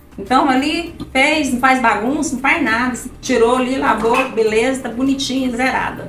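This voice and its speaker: A woman with a high voice speaks at a moderate pace amid audible room echo and faint background music. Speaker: vlogger. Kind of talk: casual chat with friends. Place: kitchen. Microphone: camera far.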